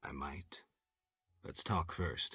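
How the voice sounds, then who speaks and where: Using a put-on character voice, a man performs. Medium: video game. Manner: terse, dry.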